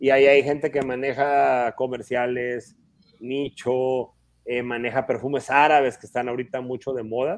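A man talks at a moderate pace with monotone, flat intonation. His loudness swings widely. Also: medium pitch for a man. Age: 40s. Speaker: perfume collector and expert. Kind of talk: casual interview.

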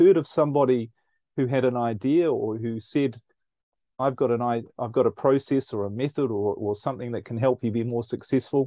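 With a New Zealand accent and a dark, mellow tone, a man speaks at medium pitch and a moderate pace, the sound dry and close with no echo over a quiet background. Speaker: speaker and researcher. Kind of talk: casual interview chat.

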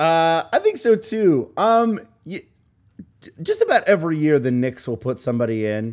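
A man speaks at a moderate pace in a fairly high pitch, his voice swinging very widely up and down. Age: 20s. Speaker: basketball podcast host. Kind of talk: casual chat. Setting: studio.

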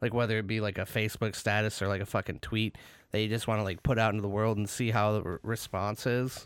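On a very clean recording with a silent background, a man with an American accent talks at a fairly quick pace and medium pitch in a normal speaking voice. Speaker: podcast co-host. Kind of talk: casual chat. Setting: studio. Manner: laughs often, joking.

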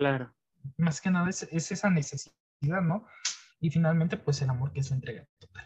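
At a moderate pace, a man with a fairly high pitch speaks with ordinary pitch variation and long, frequent pauses. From Mexico, outside Mexico City. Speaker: university student. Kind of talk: interview. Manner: halting.

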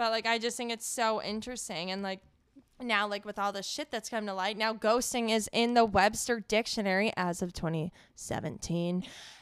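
A woman with a normal speaking voice talks at a moderate pace and a fairly high pitch, with fairly even intonation, in a very clean recording with a silent background. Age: 20s. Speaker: podcast co-host, healthcare worker. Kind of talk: casual chat.

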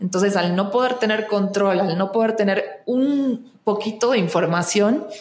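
A woman's medium-pitched voice at a fairly slow pace, very even in loudness, with noticeable background noise and audible room echo. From Argentina, Buenos Aires. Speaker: actress and singer. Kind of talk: casual interview chat.

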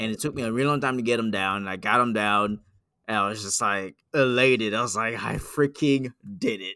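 A man talks at a moderate pace and medium pitch, with ordinary pitch variation and a bright, sharp tone. The very clean recording has a silent background and a dry, close sound with no echo. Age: 20s. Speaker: gaming podcast host. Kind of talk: casual chat.

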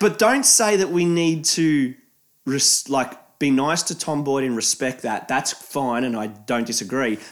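Speaking in an Australian accent, a man has fairly high pitch and lively intonation. His pace is fairly slow. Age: 20s. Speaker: podcast co-host. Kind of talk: casual chat. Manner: animated, laughing often.

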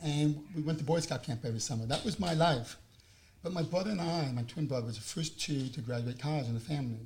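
A very fast, somewhat breathy man's voice, fairly high in pitch, with a New York accent. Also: ordinary pitch variation. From New York, Long Island. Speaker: housing program advocate. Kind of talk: interview.

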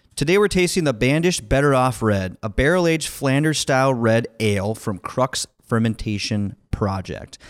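In a very clean recording with a silent background and a dry, close sound with no echo, a man uses an ordinary speaking voice at a medium pitch, with lively intonation, a moderate pace and hardly any pauses. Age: 30s. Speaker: podcast host and taproom owner. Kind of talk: casual chat. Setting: taproom.

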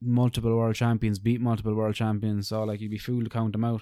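With an Irish accent, a man talks fairly quickly in a dark, mellow tone and monotone, flat intonation. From Ireland. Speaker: podcast co-host, MMA fan. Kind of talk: casual chat.

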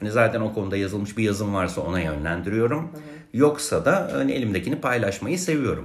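A man talks at a fairly quick pace with hardly any pauses. His fairly low voice swings very widely in pitch. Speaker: music archivist and writer. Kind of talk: casual interview chat.

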